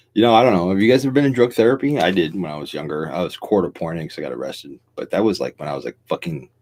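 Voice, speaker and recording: In an American accent, a man talks at a very fast pace with hardly any pauses, his very deep, low voice showing vocal fry. His pitch swings very widely and his loudness swings a lot. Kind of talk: casual late-night live stream talk. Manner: rambling, profane.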